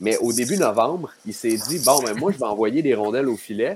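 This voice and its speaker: With noticeable background noise behind him, a man speaks at a moderate pace in a medium pitch. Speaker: hockey analyst. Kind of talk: casual chat.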